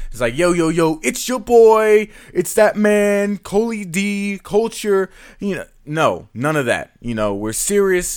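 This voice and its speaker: Very slowly and with lively intonation, a man with an American accent speaks in a high voice over a very clean recording with a silent background. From US South, Atlanta. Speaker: esports commentator and podcast host. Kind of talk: solo podcast monologue, casual. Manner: casual, informal, opinionated.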